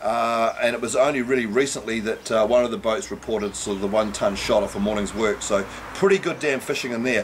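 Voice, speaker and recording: A man in a New Zealand accent speaks at a fairly quick pace with ordinary pitch variation. Noticeable background noise sits behind him. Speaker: fishing charter operator. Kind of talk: fishing report. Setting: outdoors. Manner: casual.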